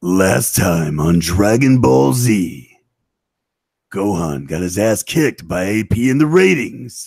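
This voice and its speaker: A man puts on a character voice, very deep and low in pitch, and speaks at a fairly slow pace. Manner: dramatic, from the chest.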